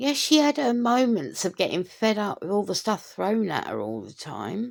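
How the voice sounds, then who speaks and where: The recording is very clean, with a silent background. A woman of medium pitch talks fairly slowly, her pitch swinging very widely. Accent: British. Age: middle-aged. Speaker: commentary vlogger. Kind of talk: opinion rant to camera.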